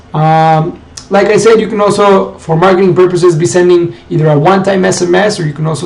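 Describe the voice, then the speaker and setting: A man amid noticeable background noise and audible room echo. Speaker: marketing tutorial presenter. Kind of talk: screen-share tutorial. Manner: fast.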